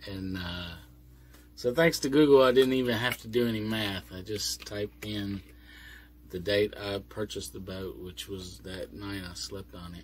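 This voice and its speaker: Speaking with lively intonation and big swings in loudness, a man with a fairly low pitch sounds somewhat breathy. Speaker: vlogger living on a boat. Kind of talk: casual vlog monologue. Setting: inside a boat cabin, doors closed. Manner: slow.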